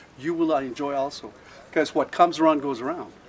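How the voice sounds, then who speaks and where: His pitch variation is ordinary. The man talks with an American accent. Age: 60s. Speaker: conference speaker. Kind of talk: conference speech. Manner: halting, many fillers.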